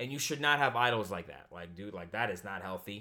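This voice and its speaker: A man with a bright, sharp tone speaks at a moderate pace in a medium pitch. His pitch swings very widely on a very clean recording with a silent background. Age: 20s. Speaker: YouTuber and podcaster. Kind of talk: casual monologue. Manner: animated.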